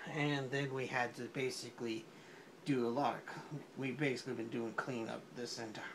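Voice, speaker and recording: Mumbling at a medium pitch, a man is heard with audible room echo and noticeable background noise. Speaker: drawing video creator. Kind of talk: casual drawing commentary. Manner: soft-spoken.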